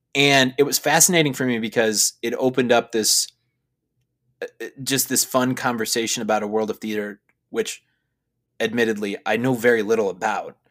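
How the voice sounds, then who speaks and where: A man with an American accent, at a fairly quick pace but with long, frequent pauses, fairly even intonation, dry and close sound with no echo, on a very clean recording with a silent background. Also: medium pitch for a man. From US Midwest, Chicago. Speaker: seminary student. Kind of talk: casual chat. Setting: recording in a closet.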